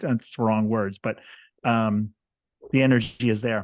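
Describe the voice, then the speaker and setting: A man speaks in an ordinary speaking voice at medium pitch, with ordinary pitch variation. He talks at a fairly slow pace against a quiet background. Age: 60s. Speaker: author and podcast host. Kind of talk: casual chat.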